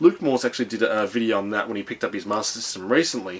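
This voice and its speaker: This man speaks with an Australian accent. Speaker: retro video game reviewer. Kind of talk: casual video review. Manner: halting, many filler ums.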